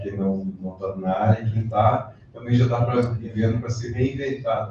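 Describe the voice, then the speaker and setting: Someone speaks at a fairly slow pace in a dark, mellow, somewhat breathy tone, with audible room echo. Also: man. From southern Brazil, gaúcho. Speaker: college lecturer. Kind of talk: closing remarks at a lecture.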